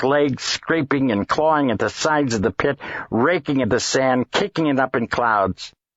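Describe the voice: Plain reading aloud is heard here, its pitch varying in an ordinary way.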